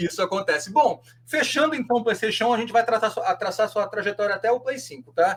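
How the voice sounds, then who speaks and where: There is noticeable background noise as a man with a high pitch talks at a very fast pace with ordinary pitch variation. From Rio de Janeiro, Brazil. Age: 40s. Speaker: podcast host. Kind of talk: podcast interview.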